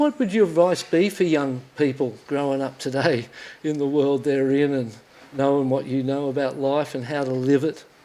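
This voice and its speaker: A man with an Australian accent talks at a moderate pace in a fairly high pitch. Noticeable background noise sits behind him. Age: 60s. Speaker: podcast host and former pro surfer. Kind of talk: interview conversation. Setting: studio. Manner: animated.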